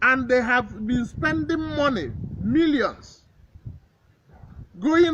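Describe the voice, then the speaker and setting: Extremely high in pitch for a man, his raised, projected voice has a bright, sharp tone and moves at a very slow pace. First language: Igbo. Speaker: traditional herbalist. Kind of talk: talk to camera.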